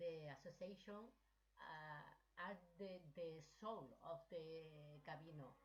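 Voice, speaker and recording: A woman speaks very slowly with a strong Spanish accent, her somewhat breathy voice fairly low in pitch and ordinary in its pitch variation. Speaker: pilgrim association president. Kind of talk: online meeting contribution. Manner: halting.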